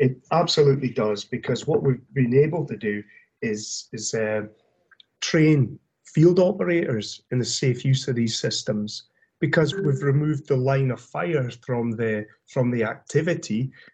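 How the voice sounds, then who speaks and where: Lively intonation at a fairly slow pace, with a Scottish accent. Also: man. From Scotland, Aberdeen area. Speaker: corrosion industry business development director. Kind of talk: interview. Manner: halting, many fillers and repetitions.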